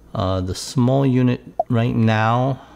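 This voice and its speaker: Over noticeable background noise, a man speaks at a very slow pace with ordinary pitch variation. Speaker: product reviewer. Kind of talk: product review tutorial. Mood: upbeat, friendly. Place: studio.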